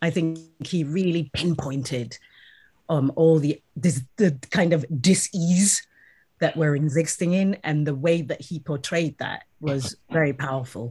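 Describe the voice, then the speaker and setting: Somewhat breathy and dark, mellow in tone, the voice moves at a fairly slow pace with ordinary pitch variation over a very clean recording with a silent background. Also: woman. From South Africa. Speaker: actor. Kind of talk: interview.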